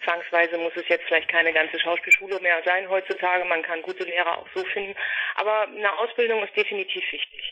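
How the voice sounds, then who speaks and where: A man's high, flat, monotone voice at a fairly quick pace, with noticeable background noise. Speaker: actress and voice actress. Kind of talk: interview. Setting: phone call.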